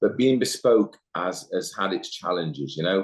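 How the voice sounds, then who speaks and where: Someone speaks with an East Midlands accent. The pace is moderate. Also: man. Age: 60s. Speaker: managing director, business owner. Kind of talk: podcast interview. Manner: hesitant, repeats words.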